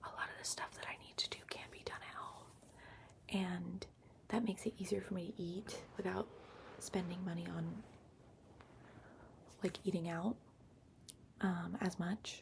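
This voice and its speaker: Someone is whispering at a fairly slow pace. There are long, frequent pauses. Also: woman. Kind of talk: ASMR ramble. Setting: laptop microphone, lo-fi. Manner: soft-spoken, whispered.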